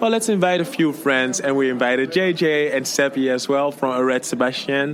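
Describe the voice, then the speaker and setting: Against noticeable background noise, a man with a French accent speaks at a moderate pace in a fairly high, animated voice with ordinary pitch variation. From Congo, then Netherlands. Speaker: singer, contest entrant. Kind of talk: interview.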